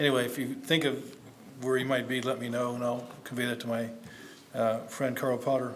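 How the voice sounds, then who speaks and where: A man with an American accent talks fairly quickly at a medium pitch, his intonation monotone and flat. Audible room echo and noticeable background noise are present. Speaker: academic conference speaker. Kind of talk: conference presentation. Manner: hesitant, many fillers; fast, hurried.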